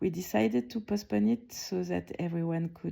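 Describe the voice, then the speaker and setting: With a French accent, a woman speaks at a moderate pace on a very clean recording with a silent background. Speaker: art curator. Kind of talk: award announcement speech, prerecorded. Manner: calm, reflective; some hesitations and restarts.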